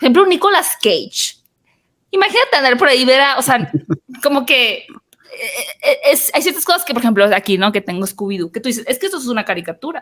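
A woman talks very fast in a high pitch with a bright, sharp tone. Her pitch swings very widely, and she leaves long, frequent pauses. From northern Mexico, Hermosillo (Sonora). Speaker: podcast host, film commentator. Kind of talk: casual interview chat.

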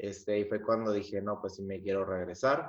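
A fairly low male voice in a northern Mexican accent, moderate in pace, with monotone, flat intonation. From Mexico, Piedras Negras, Coahuila. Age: 20s. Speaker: singer and engineer. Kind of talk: interview.

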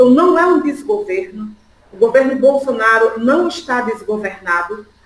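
A woman with a northeastern Brazilian accent speaks at a high pitch and moderate pace, with very wide pitch swings. Noticeable background noise can be heard. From Brazilian Northeast (Pernambuco sertão, raised in Sergipe). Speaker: political activist. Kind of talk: political interview.

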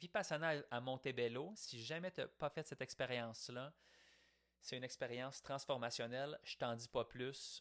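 Speaking at a moderate pace, a man uses a Quebec accent and a medium pitch. The sound is dry and close, with no echo. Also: ordinary pitch variation, quiet background. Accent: Québécois French. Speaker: podcaster. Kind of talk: reflective monologue. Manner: casual, conversational.

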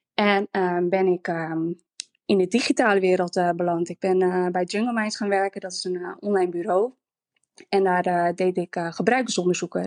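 A woman talks at a moderate pace and medium pitch in an unremarkable speaking voice. The background is quiet. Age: 30s. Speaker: former reality TV contestant, interior stylist. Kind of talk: casual interview.

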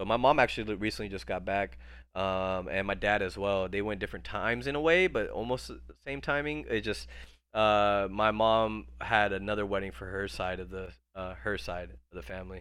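Someone with an American accent talks at a fairly quick pace with very wide pitch swings. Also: man, fairly low pitch for a man. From India, moved to US at age three. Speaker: entrepreneur and Web3 project creator. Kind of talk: casual chat. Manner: animated; fast, with many fillers and restarts.

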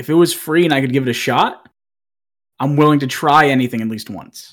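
Here a man with a medium pitch speaks in an American accent. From Massachusetts. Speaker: Twitch streamer. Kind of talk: casual chat.

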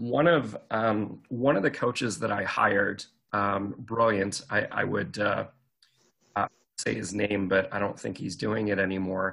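A man's fairly low voice with vocal fry and a bright, sharp tone, ordinary pitch variation, and a fairly slow pace. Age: 40s. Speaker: career coach and speaker. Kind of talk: casual chat.

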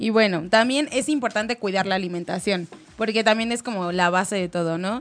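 Speaking at a fairly quick pace, a woman with a medium pitch sounds animated, her pitch varying in an ordinary way. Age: young. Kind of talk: casual chat.

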